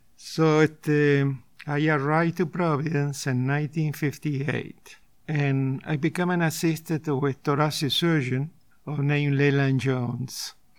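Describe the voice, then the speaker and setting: Over a quiet background, a man with an Argentine accent speaks in a monotone, flat intonation at a fairly high pitch. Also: fairly slow pace. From Argentina. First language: Spanish. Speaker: retired surgeon and painter. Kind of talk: interview, personal story.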